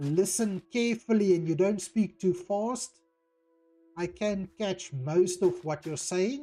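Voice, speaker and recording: A woman with a South African accent, music in the background. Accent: Afrikaans South African. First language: Afrikaans. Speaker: gaming streamer. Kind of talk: live stream chat. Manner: occasional stuttering.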